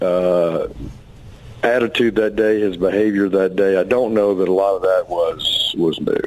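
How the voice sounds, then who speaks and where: Fairly low-pitched, monotone speech from a man, with flat intonation and noticeable background noise. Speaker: congressman. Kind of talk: radio interview.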